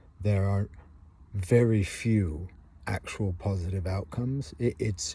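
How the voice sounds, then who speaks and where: At a fairly slow pace, a man speaks in a dark, mellow tone that is somewhat breathy. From England. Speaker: vlogger. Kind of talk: casual monologue. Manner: halting, with many fillers.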